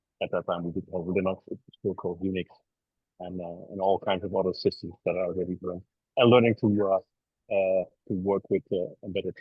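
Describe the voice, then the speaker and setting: The speaker talks with a Dutch accent in a monotone, flat intonation. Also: man, big swings in loudness. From Netherlands, Rotterdam. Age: 60s. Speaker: embedded software engineer. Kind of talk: podcast interview. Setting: video call from an airport. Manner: halting, many fillers.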